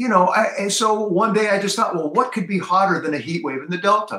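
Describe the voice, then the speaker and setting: With an American accent, a man projects a raised, high-pitched voice. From Southern California. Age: 70s. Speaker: singer-songwriter. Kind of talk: interview. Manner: hesitant, many fillers.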